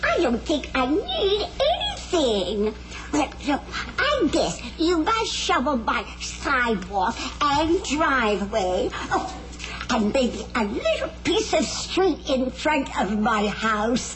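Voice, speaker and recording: A woman's high, cartoonish character voice at a very slow pace over loud background noise. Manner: sweet, chatty.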